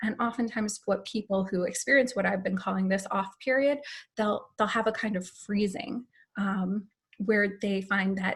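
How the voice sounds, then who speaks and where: A woman with a somewhat breathy voice talks at a moderate speed, her medium pitch held in fairly even intonation. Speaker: patient advocate / foundation staff. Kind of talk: informational talk on video call.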